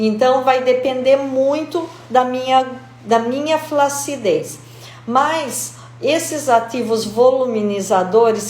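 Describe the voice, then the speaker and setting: Noticeable background noise and audible room echo surround the voice. A woman talks at a very slow pace. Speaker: aesthetician. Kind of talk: live stream talk. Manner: animated.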